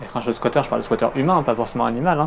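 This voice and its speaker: A man speaks quietly at a medium pitch. His pitch varies in an ordinary way. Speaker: urban explorer, YouTuber. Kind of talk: casual chat. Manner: speaking quietly.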